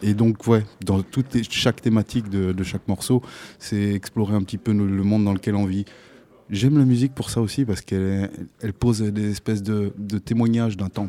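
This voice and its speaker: The man's voice is fairly low, with a dark, mellow tone and fairly even intonation. The recording is very clean, with a silent background. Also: fairly quick pace. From Africa until age 10, then France. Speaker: musician in an afrobeat band. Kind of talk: radio interview.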